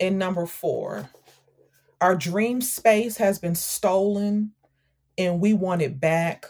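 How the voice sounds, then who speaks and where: Somewhat breathy woman's voice with an American accent, medium pitch, ordinary pitch variation, a very slow pace and long, frequent pauses. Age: 40s. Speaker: author and activist. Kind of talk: interview.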